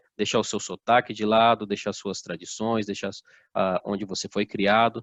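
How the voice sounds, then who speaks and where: A man with a strong São Paulo interior accent at a moderate pace. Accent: strong interior São Paulo accent, strong R. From interior of São Paulo state, Brazil (Assis). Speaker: motivational speaker. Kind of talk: motivational talk. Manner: informal, uses many fillers.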